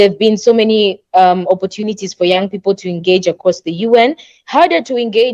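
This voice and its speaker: Recorded dry and close with no echo, a woman speaks at medium pitch with ordinary pitch variation. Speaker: youth panel presenter. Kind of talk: workshop presentation. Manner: fast.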